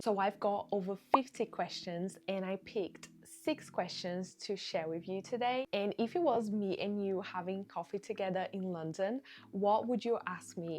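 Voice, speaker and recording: A woman speaks in a Portuguese accent with ordinary pitch variation. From Brazil. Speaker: online business creator. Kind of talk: casual Q&A vlog.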